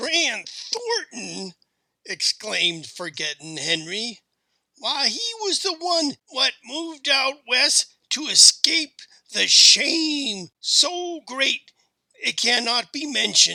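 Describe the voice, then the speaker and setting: Raspy and at an extremely high pitch, a man's put-on character voice moves at a very slow pace. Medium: read story. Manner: excitable, rustic.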